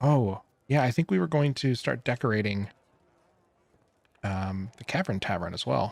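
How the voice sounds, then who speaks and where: A man talks at a fairly slow pace with lively intonation and a somewhat breathy quality. The recording is very clean, with a silent background. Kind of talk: casual gameplay commentary.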